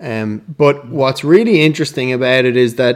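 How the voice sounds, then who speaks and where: The speaker is a man with an Irish accent. His pace is moderate and his pitch variation ordinary. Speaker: actor and film director. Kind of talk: casual interview.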